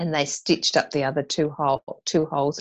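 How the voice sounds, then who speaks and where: Speaking in an Australian accent, a woman with a very deep, low pitch talks at a moderate pace with fairly even intonation against a quiet background. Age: 50s. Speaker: mother and business owner. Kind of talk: interview conversation.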